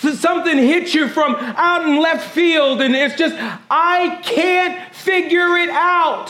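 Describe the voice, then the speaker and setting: Speaking at a very slow pace, a man has an extremely high pitch and a raised, projected voice with ordinary pitch variation. Noticeable background noise and audible room echo surround him. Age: 20s. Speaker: pastor. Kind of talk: sermon; church announcements. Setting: church service with congregation. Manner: animated.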